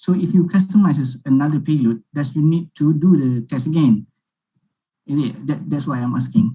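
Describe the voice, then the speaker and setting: Somewhat breathy and dark, mellow in tone, a man's voice shows ordinary pitch variation. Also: fairly high pitch for a man, moderate pace. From Malaysia. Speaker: webinar attendee. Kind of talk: webinar Q&A.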